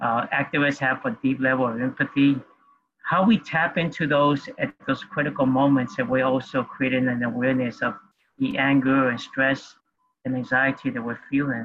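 A plain, everyday voice belongs to a man speaking at a moderate pace and medium pitch, with fairly even intonation. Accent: American. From New York City. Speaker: activist and community organizer. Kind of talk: panel discussion. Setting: video call.

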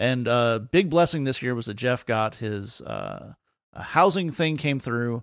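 An unremarkable speaking voice: a man at medium pitch with ordinary pitch variation and big swings in loudness. He speaks fairly slowly in a very clean recording with a silent background. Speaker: podcast host. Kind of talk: casual chat.

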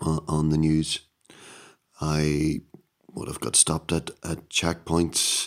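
Speaking with a Northern Irish accent, this man has a very deep, low pitch. His pace is fairly slow. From Northern Ireland, County Down. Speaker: podcast host. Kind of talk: solo monologue podcast. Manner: halting.

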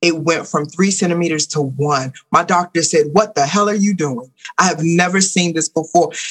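At a moderate pace with hardly any pauses, a woman speaks in a fairly low voice with an animated tone and ordinary pitch variation. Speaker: spiritual teacher, womb healer, author. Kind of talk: casual interview chat.

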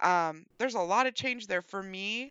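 With an American accent, a woman uses an ordinary speaking voice at a medium pitch, with ordinary pitch variation and a moderate pace. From West Virginia. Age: 40s. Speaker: podcast co-host. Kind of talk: casual chat.

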